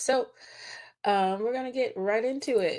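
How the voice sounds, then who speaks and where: In a quiet background, a woman talks at a moderate pace with ordinary pitch variation and an ordinary speaking voice. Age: 30s. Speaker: choir director and music educator. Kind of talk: presentation.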